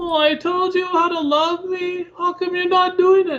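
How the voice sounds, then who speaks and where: Putting on a character voice, a man speaks whiny and at an extremely high pitch. His intonation is monotone and flat, and the pace is moderate. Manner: whiny, complaining.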